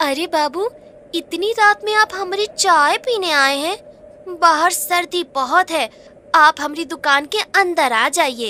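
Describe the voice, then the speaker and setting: A woman uses a cartoonish character voice with an extremely high pitch, raised and projected, at a fairly slow pace. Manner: sweetly deceptive then menacing.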